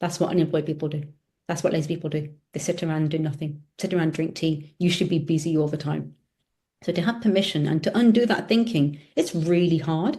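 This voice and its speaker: A woman with a British accent talks at a very fast pace, somewhat breathy and at a fairly low pitch. Her tone is dark and mellow, with ordinary pitch variation. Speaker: optometrist and business owner. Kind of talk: casual chat.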